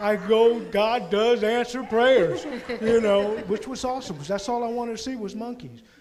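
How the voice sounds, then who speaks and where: A man speaks at a moderate pace. Audible room echo surrounds his voice. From Puerto Rico. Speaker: mission trip member. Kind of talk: church presentation testimony.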